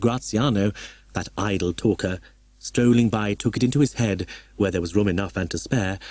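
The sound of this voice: A reading voice that sounds unforced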